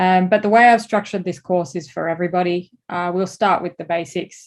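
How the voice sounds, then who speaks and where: Over a quiet background, a woman with an Australian accent and a fairly low pitch talks at a moderate pace with fairly even intonation. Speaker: advertising creative director and course instructor. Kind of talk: lecture.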